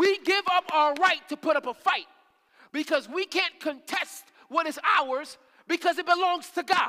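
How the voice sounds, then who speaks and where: An animated man with an extremely high pitch projects a raised voice, his tone bright and sharp, at a moderate pace. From Haitian family. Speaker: ministry leader preaching. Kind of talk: sermon. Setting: church service. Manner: animated, repetitive emphasis.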